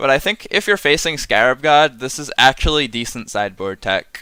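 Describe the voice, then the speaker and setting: A man with a bright, sharp tone is heard in a very clean recording with a silent background, the sound dry and close with no echo. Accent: American. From US Northeast (Massachusetts). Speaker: streamer, card game reviewer. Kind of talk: casual live-stream commentary. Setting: live stream. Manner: casual, filler-heavy with frequent ums.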